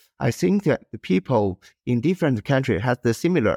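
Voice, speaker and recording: A man speaks with a Chinese accent at a moderate pace and medium pitch, with lively intonation. The recording is very clean with a silent background and a dry, close sound with no echo. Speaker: industrial designer and co-founder. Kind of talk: interview, conversational. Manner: halting, hesitant with fillers.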